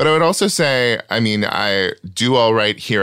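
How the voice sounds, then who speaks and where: A booming man with an American accent and a bright, sharp tone speaks at a fairly slow pace with very wide pitch swings, on a very clean recording against a silent background. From small farm town, US. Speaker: stand-up comic and writer. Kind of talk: casual interview chat. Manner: performative stage voice, off-stage private voice.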